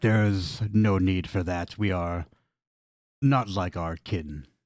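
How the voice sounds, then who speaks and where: Putting on a raspy character voice, a man speaks at a very deep, low pitch and a fairly slow pace. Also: very clean recording, silent background. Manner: calm, reassuring.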